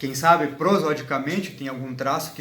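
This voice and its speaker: A man with a medium-pitched voice speaks at a moderate pace, with audible room echo and noticeable background noise. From southern Brazil, Uruguay border (Santana do Livramento, RS). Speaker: linguistics doctoral student. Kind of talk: interview. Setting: host's apartment. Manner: halting, many restarts and fillers.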